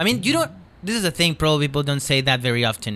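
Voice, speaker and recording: A man's fairly high, bright, sharp voice in a Chilean accent, very fast and full of very wide pitch swings. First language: Spanish. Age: 20s. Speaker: comedian. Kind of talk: casual chat. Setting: studio.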